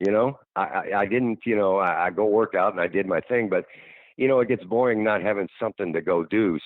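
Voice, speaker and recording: The voice moves at a fairly quick pace, its pitch varying in an ordinary way and its loudness very even throughout. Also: man. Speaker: retired professional wrestler. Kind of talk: interview answer. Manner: casual, conversational.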